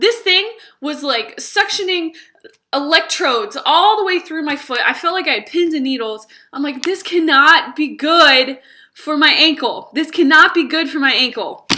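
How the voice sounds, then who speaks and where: An animated, raised and projected voice with a bright, sharp tone, lively intonation and a moderate pace. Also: woman, high pitch for a woman. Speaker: English teacher vlogger. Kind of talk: casual vlog storytelling. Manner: loud.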